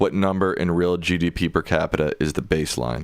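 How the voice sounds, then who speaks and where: A man with a very deep, low pitch at a moderate pace, in a very clean recording with a silent background. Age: young. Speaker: co-host reading viewer questions. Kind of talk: reading viewer questions on a live stream. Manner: sometimes slurs words.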